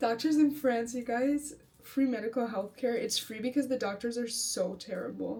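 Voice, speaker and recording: Noticeable background noise is heard throughout. The talking holds a moderate pace and fairly even intonation. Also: woman. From United States. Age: 20s. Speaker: vlogger. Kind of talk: casual personal monologue. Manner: halting, many fillers.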